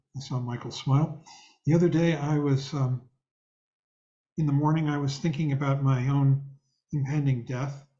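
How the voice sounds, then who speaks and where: A man's somewhat breathy, fairly high voice with a dark, mellow tone, fairly even intonation, a moderate pace and long, frequent pauses. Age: 70s. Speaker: meditation teacher. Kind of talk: dharma talk. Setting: video call.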